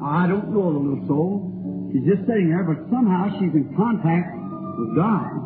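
Music plays in the background as a man talks at a fairly slow pace in a high pitch. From Kentucky. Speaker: healing evangelist. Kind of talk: sermon prayer line. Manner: folksy.

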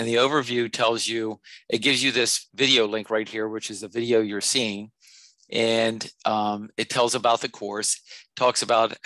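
A man at a moderate pace, bright and sharp in tone, with monotone, flat intonation, a dry sound with no echo and a quiet background. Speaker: math instructor. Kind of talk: tutorial. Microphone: headset.

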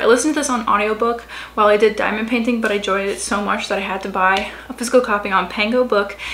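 A woman speaks with an American accent at a fairly quick pace. Her intonation stays fairly even. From Louisiana, US South. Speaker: book youtuber. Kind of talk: casual vlog talk to camera. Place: home room. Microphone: phone near.

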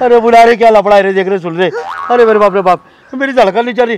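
Heard with a dry sound and no echo, a man speaks over noticeable background noise. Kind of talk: comedy skit dialogue. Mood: mock panic and complaint. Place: street.

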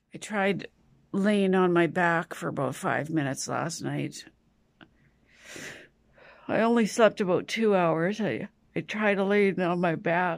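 A woman's weary voice at a fairly slow pace, with long, frequent pauses, ordinary pitch variation and a quiet background. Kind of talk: casual vlog chat. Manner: weary, sleep-deprived, low voice. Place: home room. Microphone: phone near.

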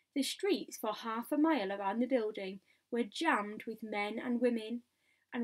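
Ordinary rise and fall of pitch in a natural reading voice, set against quiet surroundings

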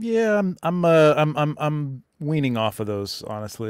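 A man's voice, dry with no echo, against a quiet background. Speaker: photographer; live show co-host, guest. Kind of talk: casual livestream chat. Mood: jokey, relaxed. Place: home room. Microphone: studio mic.

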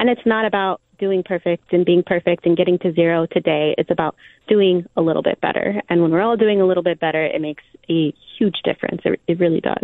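A woman with a fairly low voice talks at a very fast pace. Her intonation stays fairly even. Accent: Californian. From Southern California. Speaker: environmental nonprofit director. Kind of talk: radio interview.

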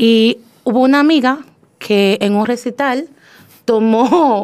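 A woman with a fairly high voice speaks at a very slow pace against a quiet background. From Dominican Republic. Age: young. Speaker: poet. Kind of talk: interview. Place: studio.

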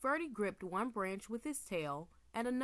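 Lively intonation in plain reading aloud

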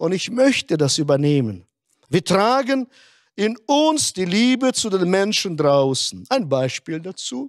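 A man's high voice with very wide pitch swings at a fairly slow pace, dry with no echo, over a quiet background. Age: 60s. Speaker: pastor. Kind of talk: sermon. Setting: online conference. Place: stage. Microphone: handheld.

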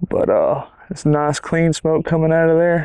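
Over a quiet background, a man is speaking. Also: dry sound with no echo. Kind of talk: tutorial. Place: garden. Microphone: lapel.

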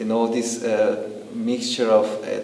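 Audible room echo surrounds a man with a Persian accent. He speaks at a medium pitch and a fairly slow pace. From Iran. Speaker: documentary interviewee. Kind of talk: interview answer. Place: home room.

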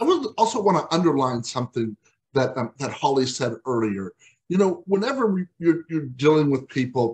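In an American accent, a man talks at a moderate pace with very wide pitch swings and a somewhat breathy voice against a quiet background. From Texas. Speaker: webinar host for aging services agency; webinar host. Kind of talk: webinar moderation and announcements. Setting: video call. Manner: halting, many fillers. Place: home room. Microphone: video call.

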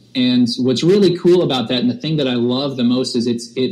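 Against noticeable background noise, a man talks at a fairly quick pace, his pitch medium and its variation ordinary. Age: 30s. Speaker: worship pastor. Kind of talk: casual chat. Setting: video call. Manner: halting.

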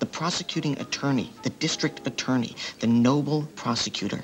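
Faint music sits in the background. Over it, a man speaks at a moderate pace. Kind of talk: dramatic monologue. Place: cafe.

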